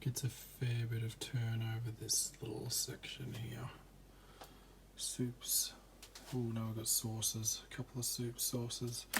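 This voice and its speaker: Soft-spoken and in an Australian accent, a man talks fairly slowly at a medium pitch with monotone, flat intonation. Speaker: vlogger. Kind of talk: casual home tour vlog. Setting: at home at night. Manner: quiet, soft-spoken.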